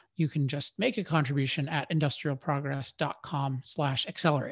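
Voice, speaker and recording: Somewhat breathy, a man with fairly high pitch speaks at a moderate pace with ordinary pitch variation. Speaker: podcast host. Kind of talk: scripted outro; interview.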